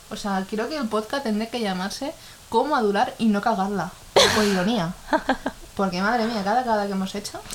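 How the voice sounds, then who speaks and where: Noticeable background noise accompanies a woman who talks at a fairly quick pace in a fairly high pitch, with ordinary pitch variation. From Ecuador. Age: 20s. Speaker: podcast co-host. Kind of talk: casual chat.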